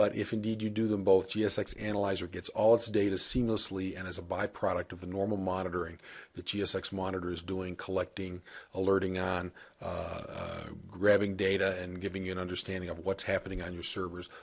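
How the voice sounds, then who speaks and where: With a quiet background, a man speaks very fast in a fairly low pitch, his intonation fairly even but his loudness swinging widely. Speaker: software product demonstrator. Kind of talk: software demo tutorial. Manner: casual with frequent filler uh.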